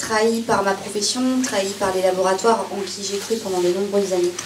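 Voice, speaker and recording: A woman's medium-pitched, monotone, flat delivery at a fairly slow pace, with audible room echo and noticeable background noise. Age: 30s. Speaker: former pharmacy assistant giving testimony. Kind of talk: testimony. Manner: halting, many hesitations.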